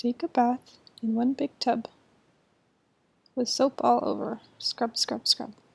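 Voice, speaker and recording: A woman with a high pitch and a calm, gentle tone speaks at a very slow pace, with long, frequent pauses. Her intonation is fairly even, her loudness swings widely, and the sound is dry and close with no echo. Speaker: ASMR reader. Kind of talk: children's bedtime story reading. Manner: calm, slow, gentle.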